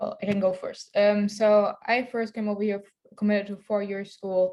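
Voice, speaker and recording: A woman with a German accent speaks at a medium pitch in a monotone, flat intonation. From Germany. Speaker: student athlete. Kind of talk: panel discussion.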